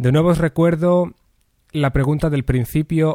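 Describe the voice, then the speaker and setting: The recording is very clean, with a silent background and a dry, close sound with no echo. A man speaks in a dark, mellow tone with ordinary pitch variation. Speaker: writing workshop teacher. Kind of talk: lecture. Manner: careful diction.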